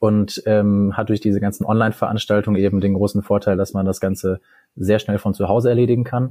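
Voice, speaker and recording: Dry, close recording of a man with no echo, fairly low in pitch, dark and mellow in tone, flat and monotone, at a fairly quick pace. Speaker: medical student. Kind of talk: interview. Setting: remote call from home.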